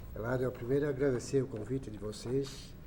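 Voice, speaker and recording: A man delivers his words fairly quickly in a monotone, flat intonation. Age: 60s. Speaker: football club president. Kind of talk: radio sports interview.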